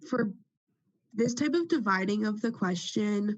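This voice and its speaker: At a moderate pace, a woman speaks in a fairly high, somewhat breathy voice. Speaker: student representative. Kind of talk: meeting question.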